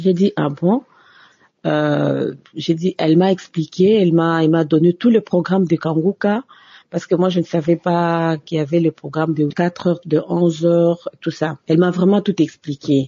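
At a moderate pace and with fairly even intonation comes an unremarkable speaking voice. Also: woman. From DR Congo. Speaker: office worker giving testimony. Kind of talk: recorded testimony.

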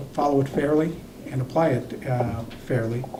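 There is audible room echo around a man speaking at a medium pitch and a moderate pace. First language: not English. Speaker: city council member, former police chief. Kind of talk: council meeting debate.

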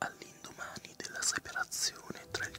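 A man whispers at a fairly slow pace. Music plays in the background. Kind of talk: ASMR fairy tale reading. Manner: whispered, soft-spoken.

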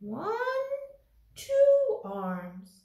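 A cartoonish character voice, female-sounding, moves at a very slow pace. There is a slight echo. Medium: puppet. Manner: playful, simple repeated words.

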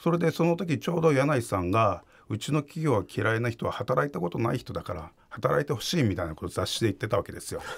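Talking at a very fast pace with hardly any pauses, a man uses vocal fry while his pitch swings very widely. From Fukuoka, Japan; Japan. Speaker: investigative journalist. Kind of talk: interview. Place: studio. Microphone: studio mic.

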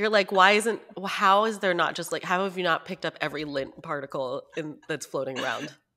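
A woman at a fairly quick pace, fairly low in pitch, bright and sharp in tone, with ordinary pitch variation. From Northern California. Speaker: podcast co-host. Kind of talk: casual chat. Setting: remote call. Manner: laughs often.

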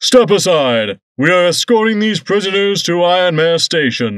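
A man puts on a character voice, high-pitched and at a moderate pace, against a quiet background. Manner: commanding.

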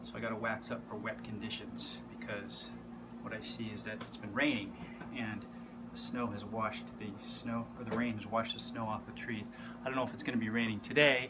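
Loud background noise surrounds a man talking at a fairly quick clip. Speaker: skier vlogger. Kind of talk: casual vlog tutorial. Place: workshop. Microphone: phone near.

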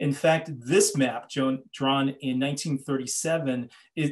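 This man has a fairly high pitch and an American accent. The background is quiet. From Los Angeles, US. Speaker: journalist and author; journalist. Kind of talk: lecture. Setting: video call. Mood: earnest, thoughtful. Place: home room. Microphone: webcam.

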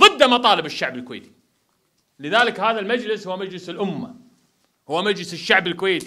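A man speaks in a raised, projected voice at a fairly quick pace, his tone bright and sharp. His intonation is lively, and the background is quiet. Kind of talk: political speech. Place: home room. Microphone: handheld.

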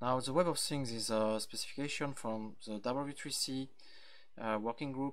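A man speaks with a French accent and fairly even intonation. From France, Brittany. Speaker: software engineer. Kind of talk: conference talk. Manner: halting, frequent fillers.

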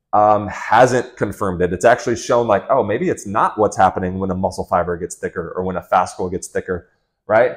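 A man talks with ordinary pitch variation over a quiet background. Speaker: fitness coach. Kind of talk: lecture. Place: home room. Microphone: lapel.

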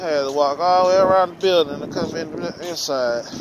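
A man is speaking over noticeable background noise. The sound is dry with no echo. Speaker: vlogger. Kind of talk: casual vlog chat. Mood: joking, storytelling. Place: street. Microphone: phone near.

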